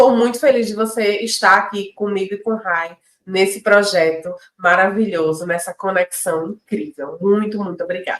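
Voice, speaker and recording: The voice, with a northeastern Brazilian accent, moves at a moderate pace with ordinary pitch variation. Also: woman. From Pernambuco, Brazil (Northeast). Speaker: podcast co-host, entrepreneur. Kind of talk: casual chat. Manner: animated.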